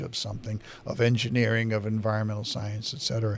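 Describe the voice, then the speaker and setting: A man's ordinary speaking voice at medium pitch. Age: 60s. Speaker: local public-access TV host and town activist. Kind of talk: political commentary monologue. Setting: studio.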